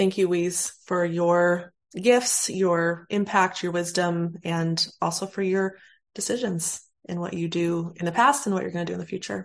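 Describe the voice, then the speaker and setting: A plain, everyday voice from a woman, fairly low in pitch, with ordinary pitch variation and a moderate pace over a quiet background. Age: 40s. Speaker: podcast host. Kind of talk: casual interview chat; scripted outro.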